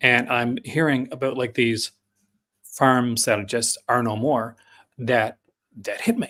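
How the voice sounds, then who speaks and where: A man speaks very slowly in a Newfoundland accent, with a flat monotone and long, frequent pauses. His tone is bright and sharp on a very clean recording with a silent background. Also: medium pitch for a man. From Newfoundland, Canada. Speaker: film podcast guest, physical media reviewer. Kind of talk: casual podcast chat.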